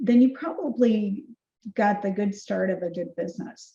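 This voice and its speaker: Here a woman uses a plain, everyday voice at a medium pitch. Her pace is moderate. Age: 60s. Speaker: keynote speaker and marketing CEO. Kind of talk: podcast interview.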